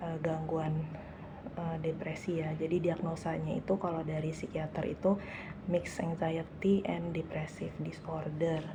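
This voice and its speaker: Soft-spoken woman with a fairly low pitch, flat monotone delivery and fairly slow pace, amid audible room echo and noticeable background noise. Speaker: vlogger, civil servant. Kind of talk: casual vlog monologue. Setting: office meeting room. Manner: soft-spoken, quiet; hesitant, many fillers.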